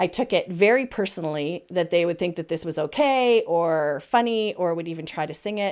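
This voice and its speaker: Her voice a normal speaking voice with a fairly low pitch, a woman talks at a moderate pace with hardly any pauses on a very clean recording with a silent background. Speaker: podcast host and camp consultant. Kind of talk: casual chat.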